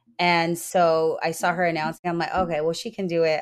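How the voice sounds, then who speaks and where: In an American accent, a woman talks at a very fast pace with a fairly low pitch. The recording is very clean, with a silent background. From US West, Southern California (West Covina). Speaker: ring announcer. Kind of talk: casual chat. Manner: animated.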